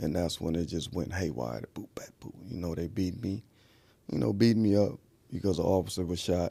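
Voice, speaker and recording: A man speaks at a fairly quick pace with lively intonation. His voice is very deep and low, dark and mellow, with vocal fry. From Watts, Los Angeles. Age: 50s. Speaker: former gang member, ex-prisoner. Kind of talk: testimony.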